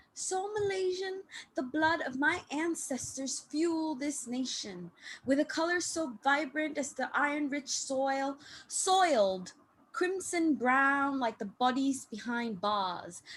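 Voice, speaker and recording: Very wide pitch swings mark speech delivered at a very slow pace. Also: woman, high pitch for a woman. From Malaysia. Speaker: open mic poet. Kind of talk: poetry reading. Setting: online video call.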